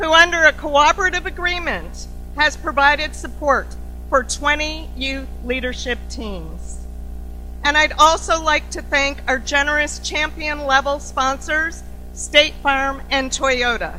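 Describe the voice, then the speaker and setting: Over music in the background, a woman speaks at a fairly slow pace with audible room echo. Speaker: CEO of an organization opening a summit. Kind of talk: formal welcome speech. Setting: conference stage with audience. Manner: loud.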